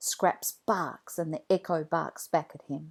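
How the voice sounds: Speaking at a slow pace, a woman has a low pitch. Her voice shows vocal fry.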